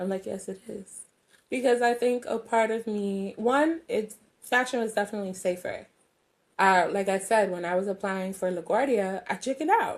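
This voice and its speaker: Very clean recording with a silent background: a woman in a New York accent, fairly high-pitched, with ordinary pitch variation at a moderate pace. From New York, the Bronx (Jamaican family). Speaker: singer-songwriter. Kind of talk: interview conversation.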